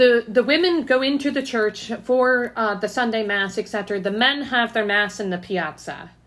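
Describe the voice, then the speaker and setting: A woman with an American accent has a plain, everyday voice and a fairly high pitch. She talks at a fairly slow pace with hardly any pauses. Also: ordinary pitch variation. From Ohio, Canton. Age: 30s. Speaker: podcast host. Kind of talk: casual interview chat.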